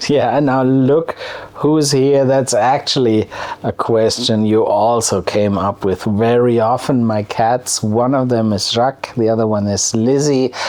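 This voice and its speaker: Over noticeable background noise, a man with a German accent speaks at a fairly slow pace in a medium pitch, with fairly even intonation and very even loudness. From Germany, wine region. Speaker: cooking youtuber. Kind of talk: casual Q&A vlog. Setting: outdoor beer garden. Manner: halting, many fillers and repeats.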